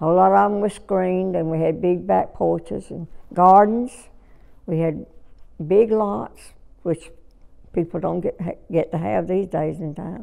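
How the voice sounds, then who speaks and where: A woman with a Southern US accent talks at a moderate pace, leaving long, frequent pauses. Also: fairly low pitch for a woman, ordinary pitch variation. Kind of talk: oral history interview answer.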